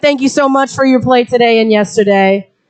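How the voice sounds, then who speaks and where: This woman's voice sits at a high pitch. Her tone is animated. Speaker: event emcee. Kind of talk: live commentary.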